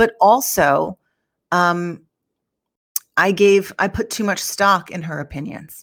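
With a medium pitch and ordinary pitch variation, a woman speaks very slowly, pausing long and often as her loudness swings widely. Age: 40s. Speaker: business founder. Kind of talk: casual chat.

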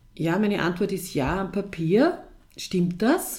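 A woman's dark, mellow tone at a very slow pace. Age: 50s. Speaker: head of a girls' counselling organisation. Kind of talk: interview. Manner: hesitant, with many fillers.

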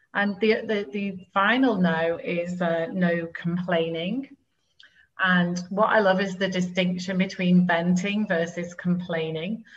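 Somewhat breathy speech comes at a very slow pace with fairly even intonation. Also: woman, medium pitch for a woman. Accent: British. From UK. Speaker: life coach. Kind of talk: interview.

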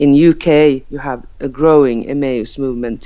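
A woman with a Finland-Swedish accent, very deep and low in pitch, with ordinary pitch variation and a fairly slow pace. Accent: Finnish-Swedish accented English. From Åland Islands, Finland. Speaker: member of parliament. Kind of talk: casual interview. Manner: halting.

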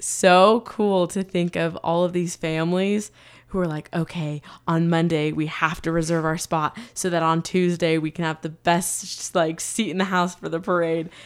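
Fairly slow delivery in an unremarkable speaking voice, ordinary pitch variation throughout. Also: woman. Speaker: podcast host. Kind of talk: casual chat.

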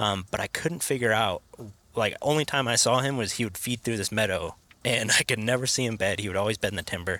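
A man speaks very fast with ordinary pitch variation and a bright, sharp tone. The recording is very clean and silent behind him, dry and close with no echo. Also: medium pitch for a man. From western Oregon. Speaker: hunter. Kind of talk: casual chat. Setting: in a car.

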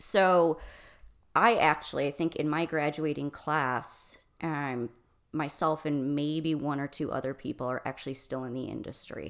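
Very deep, low female voice at a fairly slow pace, fairly even in intonation, on a very clean recording with a silent background. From Michigan. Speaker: restaurant consultant and coach. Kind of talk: interview conversation.

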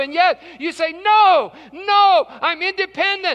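A man with an American accent speaks in a raised, projected voice at an extremely high pitch. His tone is bright and sharp, and his pitch varies an ordinary amount. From West Virginia. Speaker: pastor. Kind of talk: sermon. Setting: church.

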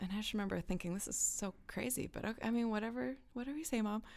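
Lively intonation marks this woman's speech, delivered with a Californian accent. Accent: General American (California). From Los Angeles, US. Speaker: session singer. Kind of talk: interview.

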